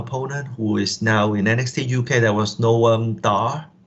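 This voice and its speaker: A man with a Hong Kong accent talks in fairly even intonation. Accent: Hong Kong Cantonese-accented English. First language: Cantonese. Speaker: professional wrestler. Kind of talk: podcast interview. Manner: halting.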